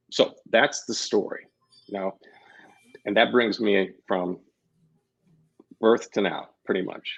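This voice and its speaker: The speaker, with an American accent, goes at a very slow pace with long, frequent pauses. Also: man. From US Midwest, Kansas City, Missouri. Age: 60s. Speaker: labyrinth facilitator and yoga teacher. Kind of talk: interview. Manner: halting, many false starts.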